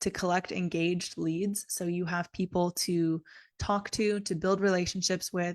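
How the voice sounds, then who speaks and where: A woman speaks at a moderate pace with ordinary pitch variation in an ordinary speaking voice. The sound is dry and close, with no echo. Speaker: business coach. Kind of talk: live online business training. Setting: livestream.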